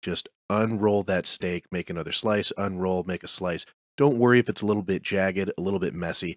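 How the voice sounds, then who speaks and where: Fairly even intonation marks this man's speech. The sound is dry with no echo, over a quiet background. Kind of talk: tutorial.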